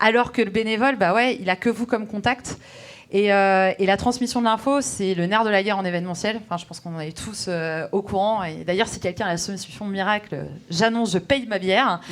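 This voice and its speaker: The woman's pitch is medium, with ordinary variation. She speaks at a fairly quick pace. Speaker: event organizer. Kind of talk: conference talk. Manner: fast.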